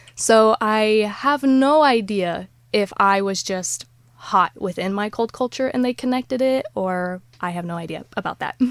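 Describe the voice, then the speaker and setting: A woman with an American accent speaks in an unremarkable speaking voice at a fairly slow pace, with a fairly high pitch and ordinary pitch variation. The recording is very clean and dry, with a silent background and a close sound with no echo. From United States. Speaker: life coach and influencer. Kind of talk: podcast interview.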